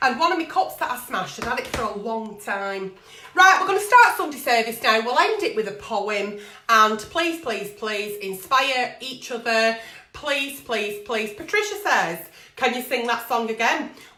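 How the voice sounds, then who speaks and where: A woman's fairly high-pitched voice with audible room echo. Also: lively intonation, moderate pace. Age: 40s. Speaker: online video host, agony aunt. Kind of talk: casual live-stream chat. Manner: chatty, rambling.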